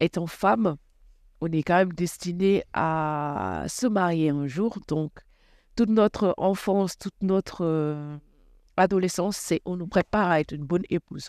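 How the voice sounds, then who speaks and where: In an ordinary speaking voice, a woman talks at a fairly slow pace with ordinary pitch variation, the sound dry and close with no echo in a very clean recording with a silent background. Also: fairly low pitch for a woman. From Senegal, Rufisque. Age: 30s. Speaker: former volleyball player. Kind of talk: interview.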